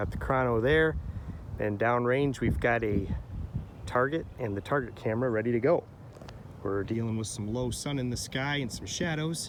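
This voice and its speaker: Over noticeable background noise, a man speaks at medium pitch and a moderate pace. His pitch varies in an ordinary way, and he leaves long, frequent pauses. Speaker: rifle shooter. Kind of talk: casual talk to camera. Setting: outdoors.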